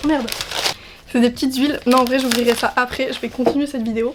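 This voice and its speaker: A woman talks at a fairly quick pace. Her voice is high, with fairly even intonation. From French Basque Country. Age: 20s. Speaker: beauty and lifestyle youtuber. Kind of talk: casual vlog reaction. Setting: outdoors in the sun. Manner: casual, hesitant with fillers.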